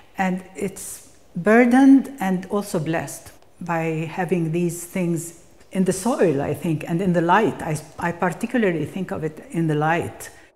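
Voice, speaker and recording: A woman's fairly low pitch, fairly slow pace and ordinary pitch variation, with noticeable background noise. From Palestine. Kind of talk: documentary interview. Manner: halting, reflective.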